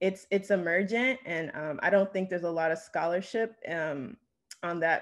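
Against a quiet background, a woman speaks in a normal speaking voice with an American accent. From New Jersey, US. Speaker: researcher, environmental educator, panelist; panelist. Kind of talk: academic talk. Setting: video call. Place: home room. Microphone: video call.

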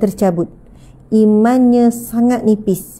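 A woman speaks at a very slow pace in a dark, mellow tone that is somewhat breathy. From Malaysia. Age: 30s. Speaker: religious teacher. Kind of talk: religious lecture. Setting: live stream with audience present. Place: home room. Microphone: lapel.

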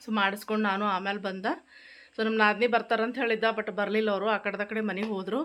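A woman's fairly high voice holds a monotone, flat intonation. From Gulbarga, north Karnataka; Karnataka, India. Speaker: family vlogger. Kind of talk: casual vlog narration. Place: home room. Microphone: phone near.

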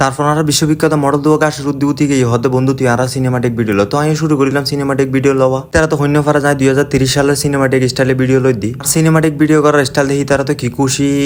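With a Chittagong accent, a man speaks at a fairly high pitch in a monotone, flat intonation and very even loudness, over noticeable background noise. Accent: Chittagonian Bengali. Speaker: travel vlogger. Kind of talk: vlog narration. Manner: casual, chatty.

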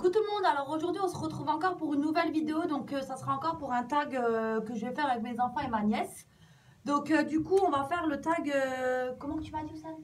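A high-pitched woman speaks at a very fast pace. Her pitch varies in an ordinary way. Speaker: mother vlogger. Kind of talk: casual vlog chat. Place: bathroom. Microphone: phone near.

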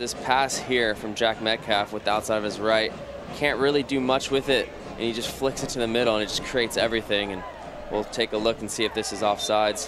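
Against noticeable background noise, a man with a medium pitch speaks fairly quickly in a monotone, flat intonation. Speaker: color commentator. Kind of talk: live match commentary with analysis. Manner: conversational, explanatory, fairly measured with some filler.

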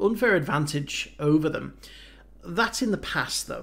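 The man's pitch shows ordinary variation. He keeps to a moderate pace. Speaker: anime reaction youtuber. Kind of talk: casual vlog chat. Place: home room. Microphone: headset.

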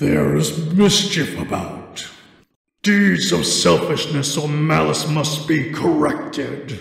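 A man's put-on character voice, gruff, raspy and growling, at fairly high pitch and a fairly slow pace, with strong echo. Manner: gruff, snarling.

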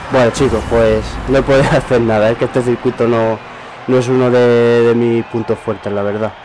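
A man talks at medium pitch in a monotone, flat intonation. Noticeable background noise sits behind him. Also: moderate pace. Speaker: gaming youtuber. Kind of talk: gameplay commentary. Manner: casual, hesitant with repetitions.

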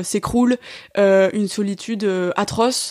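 Fairly even intonation at a fairly slow pace. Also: woman. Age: 20s. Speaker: activist, guest sharing breakup experience. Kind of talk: casual interview, personal testimony. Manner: hesitant, many fillers and repetitions.

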